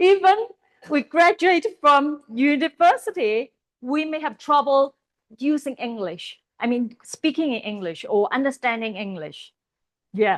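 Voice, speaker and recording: A woman with a Chinese accent speaks at a high pitch with very wide pitch swings. The sound is dry and close, with no echo. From Hong Kong. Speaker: Bible college teacher. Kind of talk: lecture. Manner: halting.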